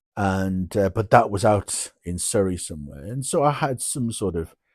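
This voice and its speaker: A man speaks with a very deep, low pitch and ordinary pitch variation. The recording is very clean, with a silent background. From northeast England, Durham. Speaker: vlogger telling his life story. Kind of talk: personal storytelling monologue. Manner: halting, many fillers and restarts.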